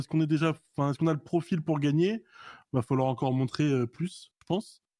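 In a very clean recording with a silent background and a dry, close sound with no echo, a man with a dark, mellow tone speaks at a moderate pace with ordinary pitch variation. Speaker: esports club president. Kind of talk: casual interview.

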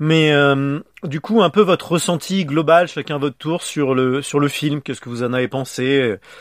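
This is a man with a normal speaking voice. He talks fairly high in pitch, and it varies in an ordinary way. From France. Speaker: podcast host. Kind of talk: casual chat.

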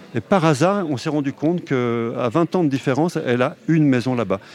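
A man speaks fairly slowly at a medium pitch, his intonation lively. Noticeable background noise runs underneath. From France, Haute-Savoie. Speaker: film director and novelist. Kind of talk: interview.

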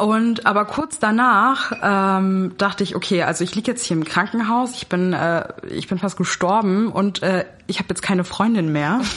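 A normal speaking voice from a woman, at a medium pitch and a moderate pace, with ordinary pitch variation. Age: 20s. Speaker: student. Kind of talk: casual chat.

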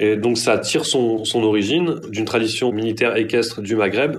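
In a room with audible echo, a man talks at a moderate pace with medium pitch. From southern France, Marseille area. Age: 30s. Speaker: journalist. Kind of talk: interview. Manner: hesitant, with fillers and repetitions.

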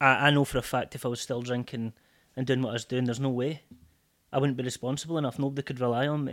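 A man with a Scottish accent speaks very fast at a medium pitch in a monotone, flat delivery, on a very clean recording with a silent background. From Scotland, Port William near Stranraer. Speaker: sobriety coach. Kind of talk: casual chat.

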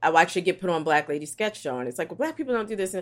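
A woman with an American accent speaks at a fairly low pitch. Her pitch swings very widely, on a very clean recording with a silent background. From West Philadelphia. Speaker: media creator. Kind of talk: casual interview.

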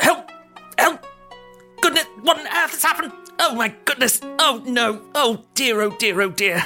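Over faint background music, a put-on character voice speaks in a high pitch at a moderate pace with long, frequent pauses. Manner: distressed, flustered.

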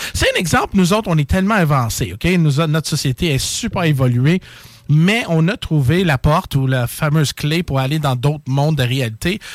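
Lively intonation runs through an unremarkable speaking voice at a moderate pace. The sound is dry and close, with no echo. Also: man, fairly high pitch for a man. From Quebec, Châteauguay. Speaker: paranormal live streamer. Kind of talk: casual chat.

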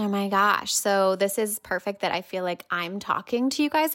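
Speaking at a moderate pace in a medium pitch, a woman with an American accent has a bright, sharp tone. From United States. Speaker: breakup coach. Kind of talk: casual interview. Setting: remote call.

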